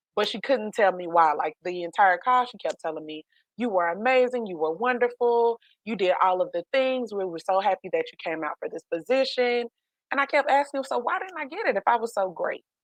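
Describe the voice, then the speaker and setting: A woman with a slight country accent and a fairly high pitch, animated in tone, with very wide pitch swings and big swings in loudness, dry and close with no echo against a quiet background. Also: fairly quick pace. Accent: slight country twang. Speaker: life coach. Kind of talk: podcast interview, personal story.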